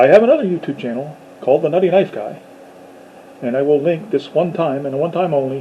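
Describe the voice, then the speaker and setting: A man talks at a fairly quick pace in a fairly high pitch, with ordinary pitch variation and noticeable background noise. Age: 50s. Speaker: YouTuber talking about sci-fi. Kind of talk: casual monologue to camera. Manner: hesitant, many fillers.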